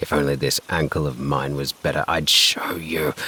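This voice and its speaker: A man growls in a put-on character voice that is raspy and very deep, delivered in a flat monotone. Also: moderate pace. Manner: glaring, bitter.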